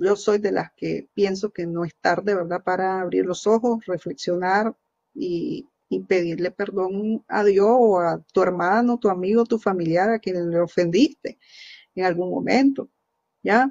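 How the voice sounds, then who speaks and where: The pace is fairly slow. The pitch variation is ordinary. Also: woman. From Nicaragua. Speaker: news show host. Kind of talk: opinion commentary. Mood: earnest, critical. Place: home room. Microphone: webcam.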